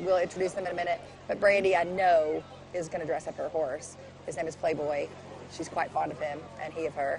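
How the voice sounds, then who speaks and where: Over clear music in the background, a woman with a fairly low pitch speaks at a very fast pace with fairly even intonation and long, frequent pauses. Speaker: TV news anchor co-hosting parade broadcast. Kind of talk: live parade commentary, chatty. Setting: outdoors at parade, live broadcast. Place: street. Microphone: headset.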